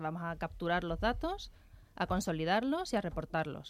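A woman's fairly low voice at a fairly quick pace, on a very clean recording with a silent background. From Seville, Andalusia. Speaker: environmental tech entrepreneur. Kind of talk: radio interview.

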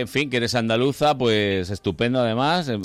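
Against background music, a man's pitch varies in an ordinary way as he talks. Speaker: radio host. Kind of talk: casual chat. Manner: animated.

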